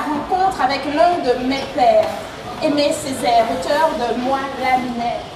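Amid noticeable background noise and audible room echo, a woman with a high pitch speaks at a fairly slow pace with ordinary pitch variation. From Martinique. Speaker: slam poet and storyteller. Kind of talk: slam poetry performance. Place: tent.

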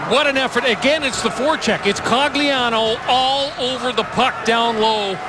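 Moderate pace, noticeable background noise and a dry sound with no echo. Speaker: hockey color commentator. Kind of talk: live sports commentary.

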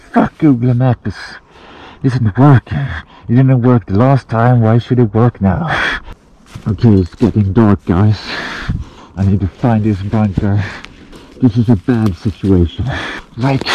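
This man talks at a fairly slow pace with very even loudness and ordinary pitch variation, leaving long, frequent pauses. The sound is dry with no echo. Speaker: outdoor challenge vlogger. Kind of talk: casual vlog chat. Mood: stressed, frustrated when lost. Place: forest. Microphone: phone near.

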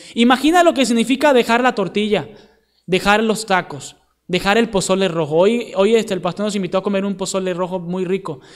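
Here a man talks at a fairly quick pace. His pitch is high, with ordinary variation. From Venezuela. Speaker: missionary preacher. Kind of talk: sermon.

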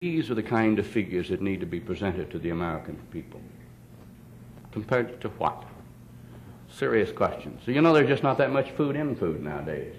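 Over light background noise, a man talks at a fairly quick pace with a fairly low pitch and very wide pitch swings. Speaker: politician giving speech. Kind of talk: speech. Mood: persuasive, lightly humorous. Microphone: podium.

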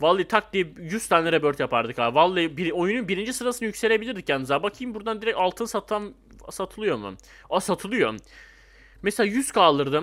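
A man's high-pitched voice at a very fast pace. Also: lively intonation. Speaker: gaming youtuber. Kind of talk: gameplay commentary. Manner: animated.

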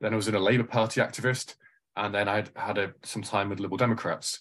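In a Mancunian accent, a man speaks with fairly even intonation against a quiet background. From Manchester, England. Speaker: lawyer and political candidate. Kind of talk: interview conversation.

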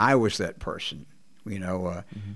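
Speaking with a Texan accent, a man keeps his intonation fairly even. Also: quiet background. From Texas. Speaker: blues guitarist; guest. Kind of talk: interview. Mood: reflective, candid. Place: studio. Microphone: studio mic.

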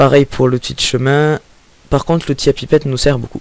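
A man talks in a southern French accent with fairly even intonation. The sound is dry, with no echo. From southern France. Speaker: software tutorial maker. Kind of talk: screen-recorded software tutorial. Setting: home microphone with breath pops. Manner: hesitant, many filler sounds.

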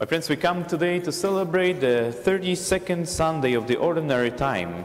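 A man speaks with lively intonation. His pace is fairly slow. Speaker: priest presiding at Mass. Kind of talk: liturgical address. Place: church.

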